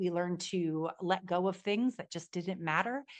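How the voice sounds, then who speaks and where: This is a woman speaking with an American accent. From New Jersey. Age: 40s. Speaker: business coach and podcast guest. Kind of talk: interview conversation. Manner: loud; fast.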